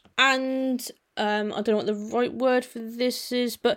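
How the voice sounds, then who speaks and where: The voice has an English accent. The recording is very clean, with a silent background. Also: woman. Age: 20s. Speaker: automotive youtuber. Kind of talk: casual solo podcast monologue. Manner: hesitant, many fillers.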